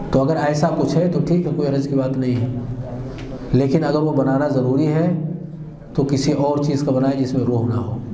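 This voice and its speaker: In a room with audible echo and light background noise, a man talks at a fairly slow pace with monotone, flat intonation and very even loudness. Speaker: religious scholar lecturer. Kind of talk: lecture. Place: studio.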